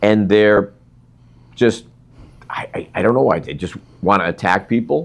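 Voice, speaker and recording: A man's fairly slow speech with vocal fry and ordinary pitch variation. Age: 60s. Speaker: podcast host. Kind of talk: interview.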